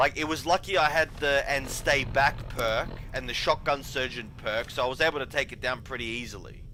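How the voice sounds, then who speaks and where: In an Australian accent, a man speaks at a moderate pace with a fairly high pitch. His tone is bright and sharp, with ordinary pitch variation. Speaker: gaming streamer. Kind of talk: casual gameplay commentary. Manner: halting, many fillers and restarts.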